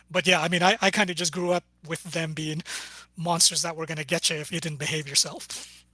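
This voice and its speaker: With a Canadian accent, a man talks at a fairly quick pace in a high pitch, his bright, sharp tone held to a monotone, flat intonation. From Canada, Edmonton, Filipino family. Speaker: novelist. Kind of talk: casual chat.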